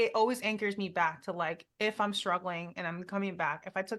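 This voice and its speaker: A woman speaks at a fairly quick pace and medium pitch. The background is quiet. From Philippines, then California. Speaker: fitness coach and runner. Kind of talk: casual interview chat. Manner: fast; animated.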